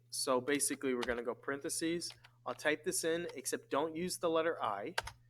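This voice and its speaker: A man with a fairly high pitch, an ordinary speaking voice, ordinary pitch variation and a fairly quick pace. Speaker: math teacher. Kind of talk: tutorial.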